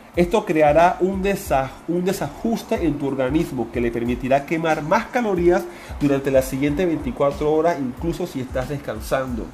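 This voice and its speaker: A man speaks at a moderate pace with a fairly high pitch, an animated tone and lively intonation. Noticeable background noise and audible room echo are present. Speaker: personal trainer podcaster. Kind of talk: solo podcast monologue. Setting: gym office.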